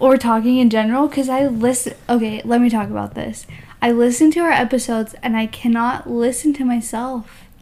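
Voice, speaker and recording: A woman speaks with an American accent in a high voice. Her intonation is fairly even. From Utah. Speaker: wardrobe stylist, podcast co-host. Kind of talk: casual chat. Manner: drawn-out, slow words; halting.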